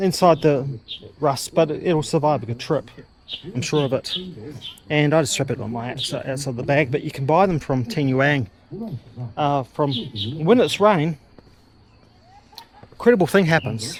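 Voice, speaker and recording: A man with an Australian accent, fairly high pitch, ordinary pitch variation, a moderate pace and long, frequent pauses. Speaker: travel vlogger. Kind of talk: walking tour vlog. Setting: outdoors. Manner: casual, halting with fillers.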